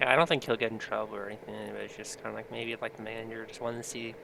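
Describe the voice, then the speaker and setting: A man speaks quietly. His pitch sits in the medium range. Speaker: podcast co-host; restaurant cook. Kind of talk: casual chat.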